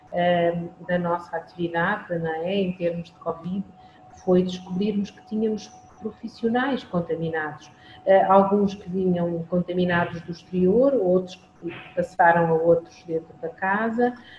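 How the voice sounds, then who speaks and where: Amid noticeable background noise, a woman speaks at a fairly slow pace with fairly even intonation but big swings in loudness. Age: 50s. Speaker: hospital lab coordinator. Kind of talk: interview.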